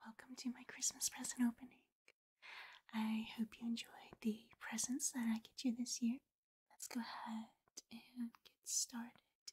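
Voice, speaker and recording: Her pace is moderate, with long, frequent pauses. The woman's intonation stays fairly even. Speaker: ASMR creator. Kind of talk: soft ASMR intro chat. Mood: warm, festive. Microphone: studio mic.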